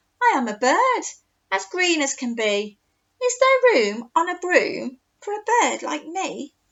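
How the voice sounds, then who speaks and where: Putting on a character voice, a woman talks fairly slowly at an extremely high pitch, her pitch swinging very widely. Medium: read story.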